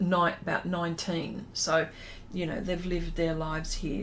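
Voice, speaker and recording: A woman's voice sits fairly low, with audible room echo. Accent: Australian. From Australia. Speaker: artist. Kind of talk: casual chat. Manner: halting.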